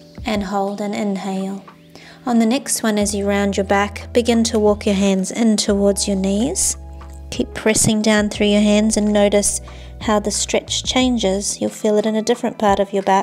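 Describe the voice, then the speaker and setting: Faint music plays in the background as a woman speaks. Her intonation is monotone and flat, at a moderate pace. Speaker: yoga instructor. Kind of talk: guided exercise instruction. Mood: calm, soothing.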